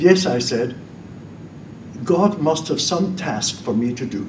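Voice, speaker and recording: With very wide pitch swings, a man speaks at a fairly slow pace amid noticeable background noise and audible room echo. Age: 80s+. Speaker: former priest, debater. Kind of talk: public debate speech. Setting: stage with audience.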